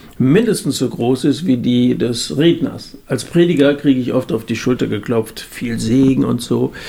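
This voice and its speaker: Lively intonation from a man at medium pitch, a moderate pace, and noticeable background noise. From Germany, central Hesse. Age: 50s. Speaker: evangelist. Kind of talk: casual chat.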